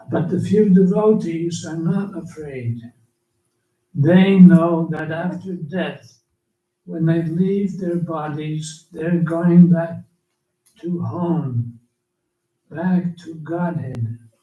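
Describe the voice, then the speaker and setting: Speaking at a very slow pace with long, frequent pauses, a man with a high pitch and a dark, mellow tone shows big swings in loudness, with audible room echo. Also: ordinary pitch variation. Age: 80s+. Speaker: elderly monk and spiritual teacher. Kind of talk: reading aloud a written offering.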